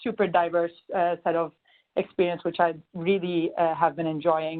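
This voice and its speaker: Fairly quick and fairly low-pitched, a woman talks in a Turkish accent. Her intonation stays monotone and flat. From Turkey, Istanbul. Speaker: management consultant. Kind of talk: webinar introduction. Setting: conference call.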